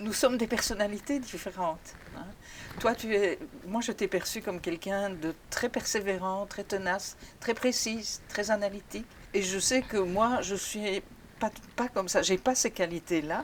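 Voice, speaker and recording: At a fairly slow pace, a woman talks in a normal speaking voice at a medium pitch with ordinary pitch variation. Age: 60s. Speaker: retired HR mentor. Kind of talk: interview testimony.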